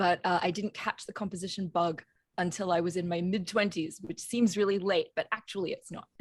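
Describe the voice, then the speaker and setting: A woman talks at a fairly quick pace. Her voice is somewhat breathy, with fairly even intonation. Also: medium pitch for a woman, dry, close sound with no echo. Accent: Australian. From Australia, Brisbane. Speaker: composer. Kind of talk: interview.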